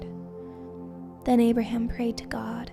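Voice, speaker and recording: A woman speaks in a calm, gentle tone. Music plays in the background. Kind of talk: scripture reading, audiobook-style Bible narration. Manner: calm, gentle, soothing.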